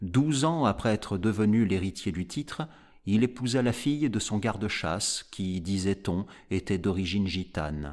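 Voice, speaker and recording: Over a silent background in a very clean recording, a man with a fairly low pitch uses a dramatic, solemn tone and lively intonation. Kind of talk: audiobook reading of a gothic horror story. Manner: slow, measured, solemn narration; dramatic, grave, deliberate pacing.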